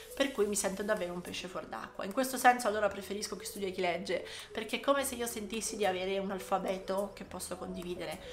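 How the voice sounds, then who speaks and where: A woman's medium-pitched voice at a very fast pace, with big swings in loudness, audible room echo and noticeable background noise. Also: ordinary pitch variation. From Italy, Ancona (Marche). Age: 30s. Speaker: psychologist and podcast host. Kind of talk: casual monologue.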